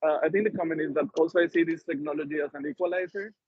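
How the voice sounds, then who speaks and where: A man's fairly high voice with a non-native accent, very fast in pace and fairly even in intonation. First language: not English. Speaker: workshop participant. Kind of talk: audience question. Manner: halting.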